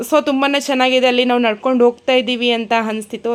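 A woman with a fairly high pitch has an ordinary speaking voice. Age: 30s. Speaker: travel vlogger. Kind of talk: travel vlog narration.

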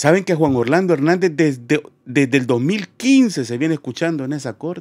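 A man with a fairly high pitch, animated tone, moderate pace and ordinary pitch variation against a quiet background. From Honduras. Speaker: online news commentator. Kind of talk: live stream commentary.

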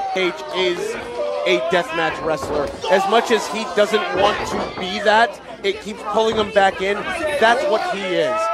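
Fairly slow speech over loud background noise. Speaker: wrestling commentator. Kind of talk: wrestling commentary. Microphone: headset.

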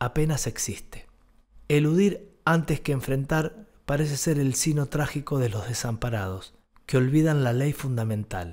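Over a quiet background, a man speaks at a fairly slow pace. His fairly high pitch moves with lively intonation. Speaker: essay narrator. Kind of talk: literary essay narration, read aloud from a script. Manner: measured, reflective, formal. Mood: calm, reflective. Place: studio. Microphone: studio mic.

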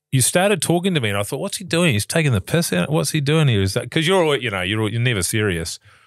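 A man at medium pitch, very fast, with hardly any pauses and very wide pitch swings, on a very clean recording with a silent background. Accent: New Zealand. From New Zealand, Levin area. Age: 40s. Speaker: podcast co-host, actor. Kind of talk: casual chat.

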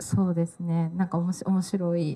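A woman speaks at a fairly slow pace in a somewhat breathy voice. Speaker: talk show facilitator. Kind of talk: panel talk moderation. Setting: live event with audience. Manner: frequent filler words, halting. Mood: cheerful, smiling. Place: hall. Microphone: handheld.

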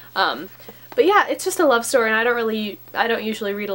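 A woman talks at a fairly quick pace. Her tone is fairly bright.

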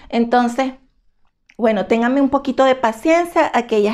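A woman's fairly high voice with ordinary pitch variation against a quiet background. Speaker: fashion and beauty YouTuber; beauty YouTuber. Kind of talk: product haul review. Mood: emotional about hateful comments. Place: home room. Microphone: phone near.

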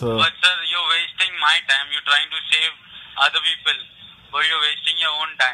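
In an Indian accent, a man with a fairly high pitch speaks in a monotone, flat way at a moderate pace. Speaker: phone scammer. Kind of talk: phone conversation. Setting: phone line.

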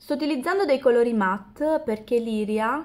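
The woman's pitch varies in an ordinary way. Her pace is fairly slow. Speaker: beauty vlogger. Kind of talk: tutorial. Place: home room. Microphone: camera far.

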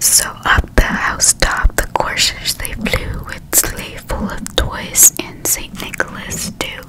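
A soft-spoken woman whispers at a very slow pace. Loud background noise fills the recording. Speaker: storyteller reading aloud. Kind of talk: soft bedtime story reading. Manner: soft ASMR whisper, close to mic. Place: home room. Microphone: studio mic.

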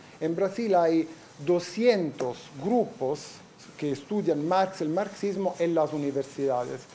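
The speech moves at a very slow pace with ordinary pitch variation over light background noise. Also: man. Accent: Italian. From Italy. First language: Italian (speaking Spanish). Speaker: professor. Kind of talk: lecture. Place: classroom.

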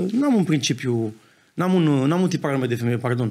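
A man speaks at a fairly quick pace. His pitch is fairly high. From Romania. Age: 20s. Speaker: football club co-owner; podcast guest. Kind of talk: casual interview. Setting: studio. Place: studio. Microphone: studio mic.

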